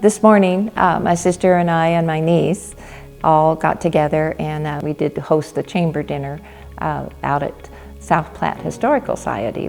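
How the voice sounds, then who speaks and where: A woman talks with a Western US accent and a very deep, low pitch. Music plays in the background. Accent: American, western US. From Colorado. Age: 80s+. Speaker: community volunteer. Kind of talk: interview testimony. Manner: hesitant, many fillers.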